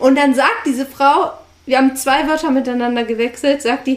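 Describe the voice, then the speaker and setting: A woman with a high voice speaks at a moderate pace. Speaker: podcast co-host, online entrepreneur. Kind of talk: casual storytelling conversation.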